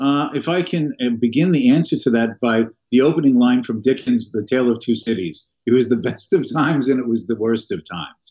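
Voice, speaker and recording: Over a quiet background, a man with a normal speaking voice talks at a fairly quick pace. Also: medium pitch for a man, ordinary pitch variation. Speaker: economist and professor; professor. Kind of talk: interview. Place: home room. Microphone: webcam.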